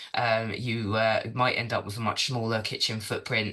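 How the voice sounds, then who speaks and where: Against a quiet background, a man speaks in a bright, sharp, flat monotone. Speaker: sustainability consultant. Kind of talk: presentation. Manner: fast.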